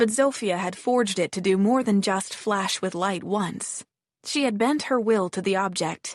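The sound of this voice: An unforced reading voice with ordinary pitch variation, against a quiet background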